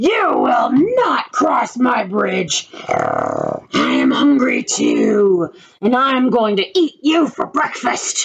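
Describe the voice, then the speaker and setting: The speaker performs a put-on character voice and draws every line out at a very slow pace. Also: man, extremely high pitch for a man. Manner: screaming, threatening.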